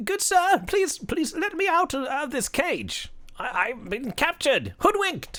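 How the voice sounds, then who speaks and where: An extremely high-pitched put-on character voice from a man, delivered fairly slowly. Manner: pleading.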